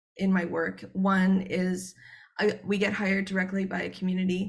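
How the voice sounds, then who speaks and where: With a Canadian accent, a woman speaks at a medium pitch, her voice somewhat breathy. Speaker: researcher. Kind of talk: conference presentation. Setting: joining a conference online. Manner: fast; hesitant, many filler words.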